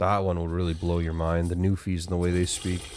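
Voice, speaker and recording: A man with a western Canadian accent speaks at a fairly quick pace. His very deep, low voice keeps a monotone, flat intonation. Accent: typical western Canadian. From western Canada, Alberta. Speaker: gaming streamer. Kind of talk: live gameplay stream chat. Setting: live stream.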